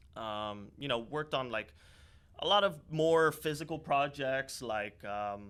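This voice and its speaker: A man with an American accent talks in a plain, everyday voice, pitched fairly high, with lively intonation. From Miami, US, Dominican-born. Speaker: startup founder. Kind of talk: podcast interview. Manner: casual, many fillers.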